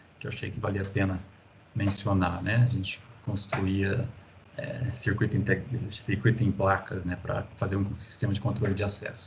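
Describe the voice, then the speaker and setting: A man with a fairly low pitch talks at a moderate speed and with fairly even intonation, his voice carrying audible room echo amid noticeable background noise. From interior of São Paulo state, Brazil. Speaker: university professor. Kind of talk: lecture. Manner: halting, many fillers.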